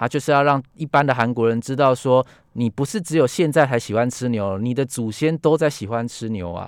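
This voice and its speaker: A man with an ordinary speaking voice talks at a fairly quick pace with hardly any pauses, in a medium pitch with ordinary pitch variation. The recording is very clean and dry, close-sounding with no echo and a silent background. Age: 30s. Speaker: book editor. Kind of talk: radio interview. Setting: radio studio.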